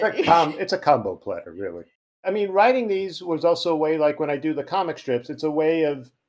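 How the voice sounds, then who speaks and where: Speaking at a fairly quick pace in a Long Island accent, the voice has lively intonation. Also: man, fairly high pitch for a man. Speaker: podcast guest, poet and comic strip writer. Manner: quick, joking, conversational.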